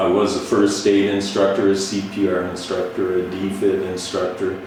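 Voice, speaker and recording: At a moderate pace, a man speaks in a flat monotone at a fairly low pitch, with music in the background and audible room echo. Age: 60s. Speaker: retired firefighter and activist. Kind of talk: interview.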